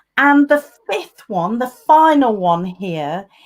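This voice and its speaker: Very slowly, a woman speaks at a high pitch with very wide pitch swings. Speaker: communication coach and speaker. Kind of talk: live online interview. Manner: slightly slower than usual.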